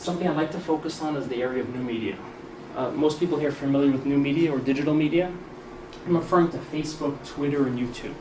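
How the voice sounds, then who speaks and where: A man with an American accent speaks very fast, with a fairly high pitch and fairly even intonation. Noticeable background noise and audible room echo fill the recording. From US Northeast (Brooklyn, New York). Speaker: spokesperson and former army officer. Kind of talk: public talk. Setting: hall with live audience.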